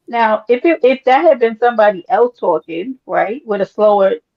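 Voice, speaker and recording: With a New York accent, a woman talks at a moderate pace in a fairly high pitch, her intonation lively. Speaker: livestream panelist. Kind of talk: casual chat.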